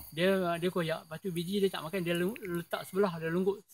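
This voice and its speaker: At a fairly quick pace, a man with a high pitch speaks with fairly even intonation, the sound dry with no echo. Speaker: village keeper. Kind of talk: interview answer. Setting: outdoors. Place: farm. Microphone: camera far.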